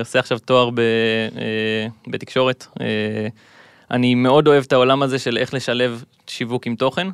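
Here is an unremarkable speaking voice at a moderate pace. Its intonation stays fairly even over a quiet background. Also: man. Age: 20s. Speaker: gamer and content creator. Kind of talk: casual interview.

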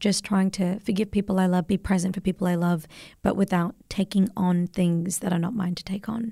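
An Australian accent, somewhat breathy and at a fairly quick pace, in a very clean recording with a silent background. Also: woman. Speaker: podcast host. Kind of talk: casual chat. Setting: studio.

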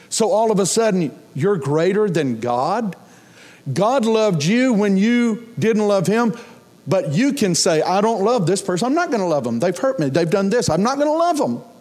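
Audible room echo surrounds a high-voiced man with an American accent who talks at a moderate pace with very wide pitch swings. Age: 60s. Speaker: pastor. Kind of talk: sermon.

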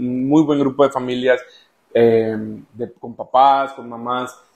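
In a plain, everyday voice, a man speaks at medium pitch with fairly even intonation. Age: 30s. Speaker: father, food industry worker. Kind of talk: interview.

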